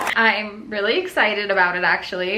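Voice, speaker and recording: Through audible room echo and noticeable background noise, a woman at medium pitch talks at a fairly quick pace. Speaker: fitness and lifestyle vlogger. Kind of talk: casual vlog talk to camera. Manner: animated.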